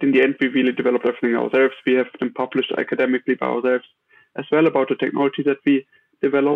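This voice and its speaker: Medium-pitched male speech with fairly even intonation. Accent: German. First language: German. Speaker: tech startup founder. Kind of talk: interview. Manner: halting, many fillers.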